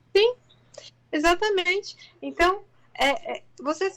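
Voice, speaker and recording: A woman's voice with lively intonation. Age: 40s. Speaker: integrative therapist. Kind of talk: interview conversation. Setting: online live stream.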